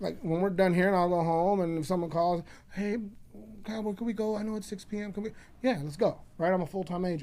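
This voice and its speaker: A man talks at a very fast pace with an American accent. His pitch is high, yet his tone is dark and mellow. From Chicago. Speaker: realtor and former loan officer. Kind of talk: podcast interview. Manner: loud; animated.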